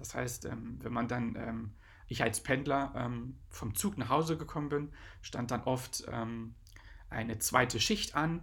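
With vocal fry and a bright, sharp tone, a man speaks at a medium pitch and a fairly slow pace, his pitch varying in an ordinary way. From eastern Germany (Brandenburg / Saxony-Anhalt, Magdeburg area). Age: 30s. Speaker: DJ and podcast host. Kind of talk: casual solo podcast monologue. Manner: hesitant, many filler sounds.

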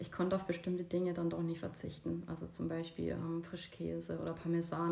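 A woman speaks at a fairly quick pace with hardly any pauses, over noticeable background noise. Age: 40s. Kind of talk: casual chat. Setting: at home on a couch.

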